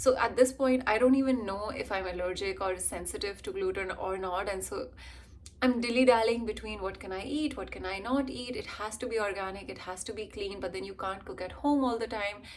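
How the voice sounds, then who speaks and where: A woman's fairly high voice with an Indian accent, fairly quick pace and big swings in loudness. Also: ordinary pitch variation. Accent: Indian, being worked on toward American. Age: 20s. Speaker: vlogger and actor/model. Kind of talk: casual vlog chat.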